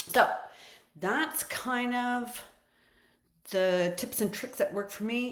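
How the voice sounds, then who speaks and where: A loud woman's voice. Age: 60s. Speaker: fitness and nutrition coach. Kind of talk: casual livestream talk. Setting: social media live stream.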